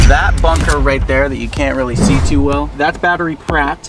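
Over clear music in the background, a man talks at a fairly quick pace in a dry sound with no echo. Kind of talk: casual vlog chat. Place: car. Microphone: phone near.

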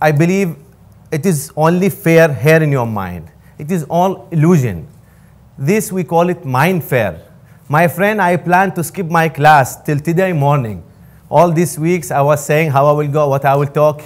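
Speaking in an Arabic accent, the voice moves at a fairly slow pace with ordinary pitch variation. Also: man, fairly high pitch for a man. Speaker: student giving a motivational talk. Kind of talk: motivational pep talk to a live audience. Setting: stage with audience. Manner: earnest, encouraging; halting, non-native grammar. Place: hall. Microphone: lapel.

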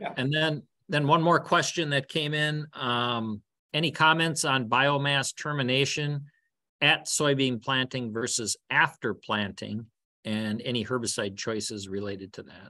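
Against a quiet background with dry sound and no echo, a man of medium pitch speaks at a fairly slow pace in a bright, sharp tone with big swings in loudness. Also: ordinary pitch variation. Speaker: agricultural extension educator. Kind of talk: webinar hosting; webinar moderation. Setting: video call. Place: office. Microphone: webcam.

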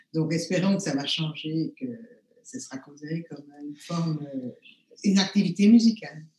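A woman with a fairly low pitch speaks with long, frequent pauses and big swings in loudness. Audible room echo and light background noise are present. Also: moderate pace. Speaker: neuroscience professor. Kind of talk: panel discussion. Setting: video call. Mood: calm, thoughtful. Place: home room. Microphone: webcam.

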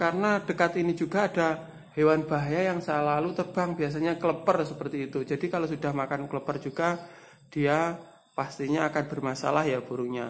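Over light background noise, a man talks at a fairly quick pace with fairly high pitch and fairly even intonation. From East Java, Tulungagung; East Java. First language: Javanese (speaking Indonesian). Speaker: bird seller and bird-care youtuber; bird seller, bird-care youtuber. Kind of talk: tutorial. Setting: room with bird cages. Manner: halting, many fillers. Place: home room. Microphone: phone near.

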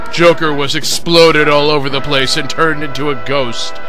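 A man speaks at a fairly slow pace while music plays in the background. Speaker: fan fiction reader. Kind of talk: comedic dramatic reading.

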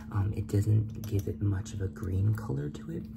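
A man speaks with music playing in the background. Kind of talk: tutorial. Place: kitchen. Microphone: phone near.

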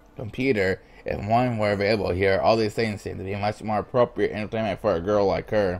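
The speaker is reading aloud in a natural voice, with fairly even intonation.

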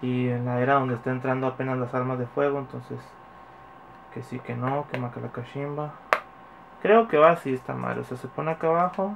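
A man with a Mexican accent talks at a fairly quick pace, with long, frequent pauses. Background noise is noticeable. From Mexico. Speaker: YouTuber, toy unboxing; YouTuber. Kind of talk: casual vlog unboxing. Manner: animated. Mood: joking, relaxed, swears casually. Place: home room. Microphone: phone near.

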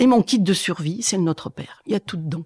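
At a moderate pace, a woman speaks at medium pitch. The sound is dry and close with no echo, on a very clean recording with a silent background. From France, Corrèze (Brive-la-Gaillarde). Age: 60s. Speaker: schoolteacher. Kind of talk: testimony. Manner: halting, many hesitations and repetitions.

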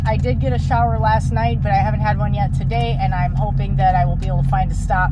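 There is music in the background as a woman talks at a fairly quick pace. The sound is dry, with no echo. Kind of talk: casual vlog chat. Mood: relaxed, chatty. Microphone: phone near.

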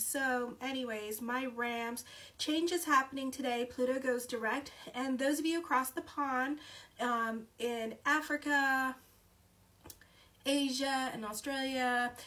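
Her voice is raised and projected, with a bright, sharp tone. The woman speaks at a very slow pace with fairly even intonation. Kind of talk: horoscope reading vlog. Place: home room. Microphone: phone near.

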